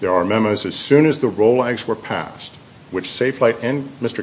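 A man speaks at a fairly quick pace with medium pitch. There is noticeable background noise. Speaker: appellant's attorney. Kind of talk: appellate oral argument. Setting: courtroom. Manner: formal.

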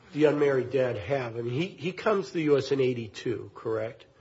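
A man talks in an ordinary speaking voice at a fairly high pitch. His intonation is lively. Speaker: appellate judge. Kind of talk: judicial questioning. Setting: courtroom.

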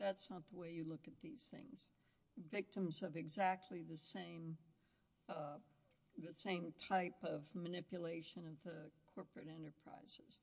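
A plain, everyday voice at a fairly slow pace, with ordinary pitch variation and big swings in loudness. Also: woman, fairly low pitch for a woman. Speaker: appellate judge. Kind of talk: court hearing. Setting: courtroom.

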